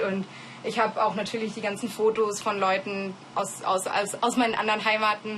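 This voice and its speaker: Over noticeable background noise, a woman with a fairly high pitch speaks at a fairly quick pace. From Germany, early childhood in Kenya. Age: 20s. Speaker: law student. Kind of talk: interview. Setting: her room. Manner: casual, with hesitations and repetitions.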